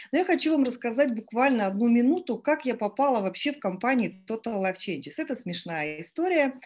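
The voice moves at a fairly quick pace with hardly any pauses and very wide pitch swings. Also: woman, high pitch for a woman. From Estonia. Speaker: network marketing team leader. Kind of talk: live webinar presentation. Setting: online webinar. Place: home room. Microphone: video call.

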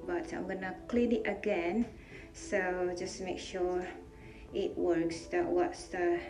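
A woman's fairly slow speech over clear music in the background. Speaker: home DIY vlogger. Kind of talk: tutorial. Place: bathroom. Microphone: phone near.

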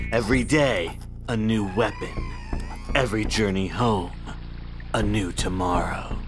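Over loud background music, a man performs a put-on character voice. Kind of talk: hard-boiled voice-over parody. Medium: comedy sketch. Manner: grim, brooding, melodramatic.

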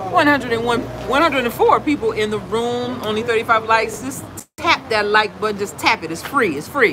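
Crowd noise fills the background as a woman talks in an animated tone at a fairly slow pace. Her pitch is fairly high, and her intonation is lively. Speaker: travel vlogger. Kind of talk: casual chat. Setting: restaurant meet and greet, live. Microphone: phone near.

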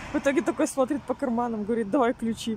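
The sound is dry with no echo, over light background noise. A woman speaks in a high pitch with ordinary variation. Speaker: vlogger. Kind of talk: casual vlog chat. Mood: amused, slightly annoyed. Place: street. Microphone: phone near.

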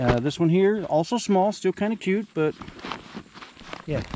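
A man speaks with a dark, mellow tone and lively intonation.

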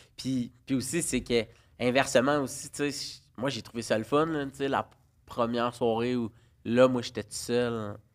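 A man talks fairly slowly, with intonation that stays fairly even. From Quebec, Laval; Quebec. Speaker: parent guest; guest. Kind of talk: casual chat. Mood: relaxed, humorous. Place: studio. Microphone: studio mic.

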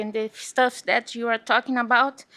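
A woman with a non-native accent speaks at a moderate pace and fairly high pitch in a bright, sharp tone. Her intonation is flat and monotone, and the sound is dry and close with no echo. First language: not English. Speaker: parent speaking at public hearing. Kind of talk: public comment. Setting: school board meeting.

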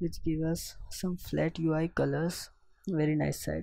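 A man speaks at a very slow pace. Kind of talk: software tutorial voiceover. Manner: hesitant, casual.

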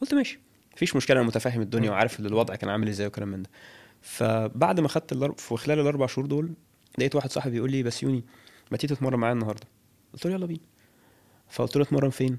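This man talks at a very fast pace in an Egyptian accent. His pitch sits at a medium level with ordinary pitch variation. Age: 30s. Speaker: fitness coach. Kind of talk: interview. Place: studio. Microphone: studio mic.

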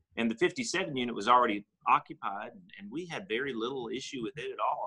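A man with a Southern US accent speaks in a bright, sharp tone with very wide pitch swings. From Tennessee (Cleveland). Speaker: real estate investor and insurance agency owner. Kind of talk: interview. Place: home room. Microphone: video call.

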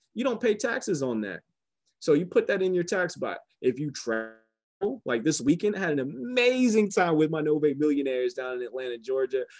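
A man with an American accent and a fairly high pitch, animated in tone, at a fairly quick pace, with very wide pitch swings, against a quiet background. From US South. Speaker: business opportunity presenter; presenter. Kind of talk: sales pitch. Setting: phone call.

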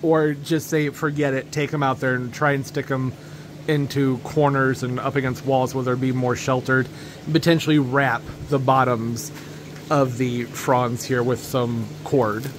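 Noticeable background noise runs under the recording. A man speaks at a fairly slow pace in a monotone, flat intonation. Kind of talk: casual vlog chat. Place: garage. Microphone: phone near.

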